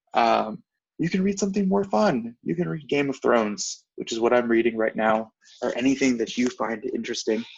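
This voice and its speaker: Speaking at a fairly quick pace, a man with a medium pitch lets it swing very widely. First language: non-English. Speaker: MCAT tutor. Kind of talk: online class lecture. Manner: casual, conversational.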